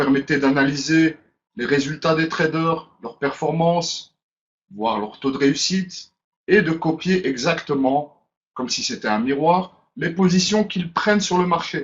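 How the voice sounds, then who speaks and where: A man speaks with a Brussels accent at a fairly slow pace. His pitch sits fairly high. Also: ordinary pitch variation. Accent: Brussels Belgian French. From Belgium, Brussels. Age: 30s. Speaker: webinar presenter. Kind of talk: webinar presentation. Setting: online webinar.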